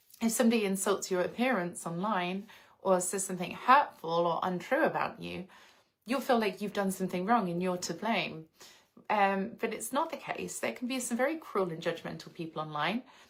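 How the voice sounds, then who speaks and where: A woman speaks with an English accent at a medium pitch. Her pace is fairly quick and her intonation lively. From England, outskirts of London. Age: 30s. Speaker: lifestyle livestreamer. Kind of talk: casual livestream chat.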